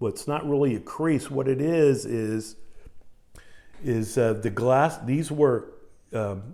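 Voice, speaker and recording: Speaking at a fairly slow pace, a man has a dark, mellow tone at a medium pitch with ordinary pitch variation. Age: 60s. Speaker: card collector YouTuber. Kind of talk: casual video monologue. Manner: halting, many fillers.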